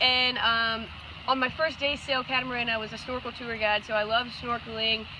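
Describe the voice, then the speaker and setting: A high-voiced woman talks at an even, moderate speed while noticeable noise sits in the background. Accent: American. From Georgia, US South. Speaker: couple applicant. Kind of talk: casual interview.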